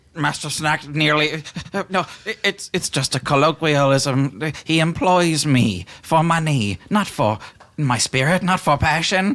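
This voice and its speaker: A man puts on a character voice with a fairly high pitch, speaking at a fairly slow pace. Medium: actual play. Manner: obsequious, overly dramatic.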